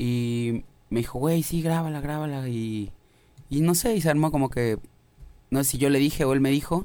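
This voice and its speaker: The voice has a dark, mellow tone. Long pauses come often. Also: man, fairly high pitch for a man, ordinary pitch variation, moderate pace. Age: 20s. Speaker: musician. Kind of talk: casual chat.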